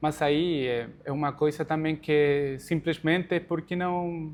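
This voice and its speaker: Against a quiet background, a man speaks in a calm tone. He has a Spanish accent and a fairly high pitch. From Chile, Santiago. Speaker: immigrant athlete. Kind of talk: interview.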